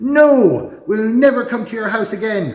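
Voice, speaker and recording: A man shouts in a put-on character voice at an extremely high pitch. His pace is moderate. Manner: screaming.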